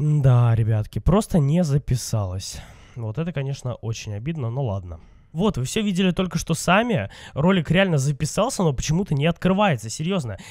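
A man talks in a fairly high, somewhat breathy voice with very wide pitch swings. The recording is very clean, with a silent background. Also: moderate pace. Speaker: gaming youtuber. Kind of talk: let's play commentary. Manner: casual, chatty.

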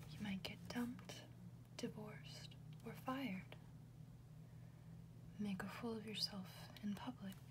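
Noticeable background noise runs behind a woman speaking at a fairly slow pace. She pauses long and often. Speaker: ASMR reader. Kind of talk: ASMR whisper book reading.

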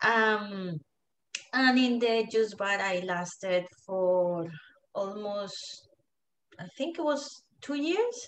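In a Colombian accent, the speaker goes at a very slow pace with long, frequent pauses, and audible room echo. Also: woman, fairly high pitch for a woman, lively intonation. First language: Spanish. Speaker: digital marketing entrepreneur. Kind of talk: casual interview. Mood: warm, relaxed storytelling. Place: home room. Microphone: video call.

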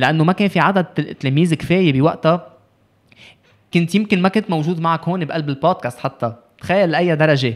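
Against a quiet background, a man speaks at a fairly quick pace. His voice is high with ordinary pitch variation. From Lebanon. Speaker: youth ambassador and sports advocate; podcast guest. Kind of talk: casual interview. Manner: code-switching with English. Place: studio. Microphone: studio mic.

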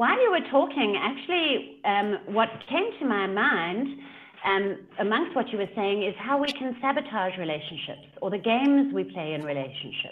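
Her voice fairly high in pitch, a woman with a South African accent speaks with very wide pitch swings. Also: moderate pace. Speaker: leadership coach. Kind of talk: casual interview chat. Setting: video call. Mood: animated, engaged. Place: home room. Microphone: video call.

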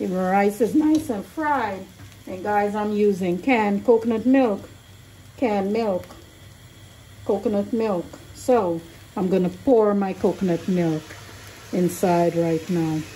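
A woman speaks at a fairly slow pace with ordinary pitch variation. Her pauses are long and frequent. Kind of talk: cooking tutorial. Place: kitchen. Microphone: phone near.

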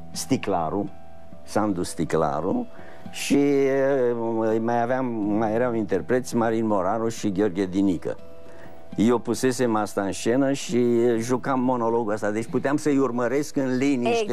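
At a fairly slow pace, the voice keeps its loudness very even, with ordinary pitch variation and faint music playing in the background. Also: man. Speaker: guest. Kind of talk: interview answer. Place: studio. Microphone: lapel.

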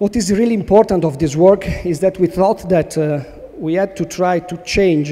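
A man speaks with ordinary variation in his pitch. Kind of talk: conference talk. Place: stage. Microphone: podium.

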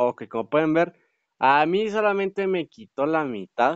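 The tone is animated. The pitch swings very widely. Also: man. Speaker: gaming youtuber. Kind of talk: gameplay commentary.

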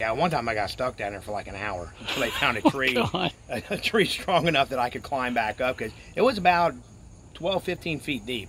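Over noticeable background noise, a man talks at a fairly quick pace with a medium pitch and very wide pitch swings. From Northern Kentucky (Covington area). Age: 50s. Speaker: local resident recalling childhood. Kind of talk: casual storytelling. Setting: outdoors.

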